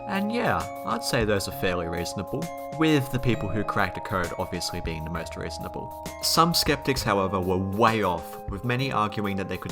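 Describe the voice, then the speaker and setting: With music in the background, a man with an Australian accent speaks at a fairly quick pace with lively intonation. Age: young. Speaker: YouTuber. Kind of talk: casual storytelling narration. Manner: humorous, sarcastic.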